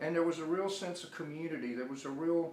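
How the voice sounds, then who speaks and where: A man's fairly quick speech with an Alabama accent, ordinary pitch variation, audible room echo and noticeable background noise. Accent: Alabama Southern US. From US South, Birmingham, Alabama. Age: 60s. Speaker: artist and illustrator. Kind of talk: interview. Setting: artist's studio. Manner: halting, with frequent repetitions.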